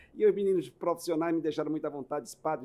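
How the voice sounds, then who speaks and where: This is a man talking. He sits on the fairly high side in pitch. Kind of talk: casual interview chat. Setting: podcast studio.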